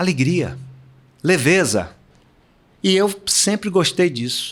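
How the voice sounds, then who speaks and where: Talking at a very slow pace, a man with a high pitch uses lively intonation. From Brazil, Salvador, Bahia. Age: 70s. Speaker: retired swimmer and swimming coach. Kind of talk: interview.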